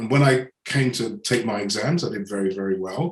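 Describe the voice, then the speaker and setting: With an English accent, a man talks using lively intonation. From England. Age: 60s. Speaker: business mentor and coach. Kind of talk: podcast interview.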